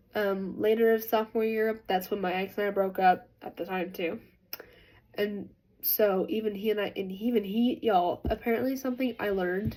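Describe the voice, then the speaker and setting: Her tone dark and mellow, a woman speaks with fairly even intonation. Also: medium pitch for a woman, moderate pace. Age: 20s. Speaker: vlogger. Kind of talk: casual storytelling.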